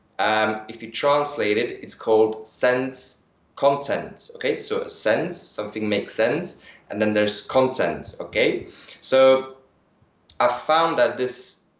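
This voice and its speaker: With audible room echo, a man talks at a very slow pace. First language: German. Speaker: energy healing practitioner. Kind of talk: interview. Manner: hesitant, with fillers.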